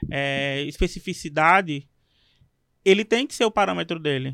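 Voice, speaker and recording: At a fairly slow pace, a man speaks in a dry, close sound with no echo on a very clean recording with a silent background. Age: 20s. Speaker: teacher and podcast co-host. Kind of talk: casual interview chat.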